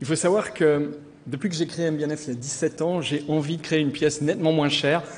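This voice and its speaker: A man with a Vaud accent speaks at a moderate pace, with audible room echo. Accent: Vaud (Swiss French). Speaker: watch brand founder. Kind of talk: award acceptance speech. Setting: stage with audience.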